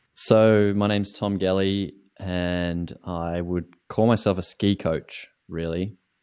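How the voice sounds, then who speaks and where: A man with an Australian accent speaks at a very slow pace in a very deep, low voice, his intonation monotone and flat, on a very clean recording with a silent background. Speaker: ski coach. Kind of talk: interview. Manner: halting.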